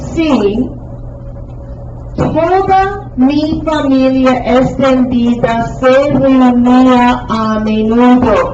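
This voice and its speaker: Amid noticeable background noise and audible room echo, a woman speaks in a high pitch with ordinary pitch variation. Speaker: Spanish teacher. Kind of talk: classroom lesson.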